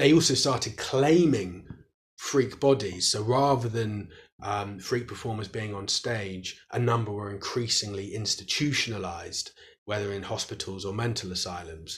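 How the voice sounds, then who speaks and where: A man's somewhat breathy voice with a British accent, fairly low in pitch, at a moderate pace and with ordinary pitch variation. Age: 30s. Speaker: historian and author. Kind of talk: interview.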